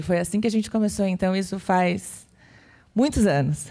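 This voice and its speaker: A woman with a dark, mellow tone speaks at a moderate pace with fairly even intonation on a very clean recording against a silent background. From Florianópolis, southern Brazil. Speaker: design consultancy CEO and conference speaker. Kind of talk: conference talk. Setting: stage with audience.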